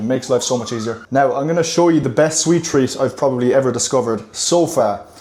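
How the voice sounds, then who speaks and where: A man's fairly quick speech with an Irish accent, medium pitch and ordinary pitch variation, amid noticeable background noise. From Ireland. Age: 20s. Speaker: fitness coach and vlogger. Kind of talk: casual vlog talk. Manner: casual, chatty.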